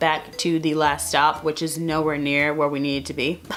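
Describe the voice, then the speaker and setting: An animated woman at a fairly quick pace, with noticeable background noise. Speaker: lifestyle vlogger. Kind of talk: vlog narration.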